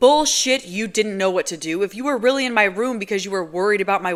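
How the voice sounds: Throughout, the speaker uses a natural reading voice.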